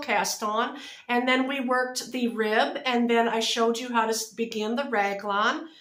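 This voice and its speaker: A woman speaks fairly slowly in a high pitch. Room echo can be heard around her. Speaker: knitting and crochet vlogger. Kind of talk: casual chat. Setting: home video recording, close to camera. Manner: loud.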